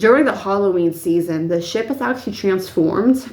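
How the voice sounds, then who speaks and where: Ordinary pitch variation against audible room echo. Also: woman. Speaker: YouTuber, paranormal storyteller. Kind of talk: casual vlog storytelling. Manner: filler-heavy, rambling.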